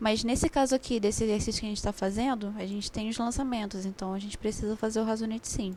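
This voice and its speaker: A woman speaks very fast at a fairly high pitch, her intonation fairly even. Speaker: accounting tutor. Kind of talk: online review class.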